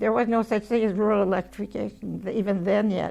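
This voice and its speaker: A woman with vocal fry talks at a fairly quick pace and medium pitch in a monotone with flat intonation. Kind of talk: interview answer. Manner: reminiscing, conversational.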